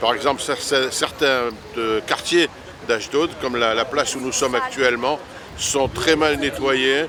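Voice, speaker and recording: Noticeable background noise sits behind a man speaking at a fairly slow pace. His pitch is medium and his intonation fairly even. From Paris, France. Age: 70s. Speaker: retired immigrant resident. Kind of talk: interview testimony.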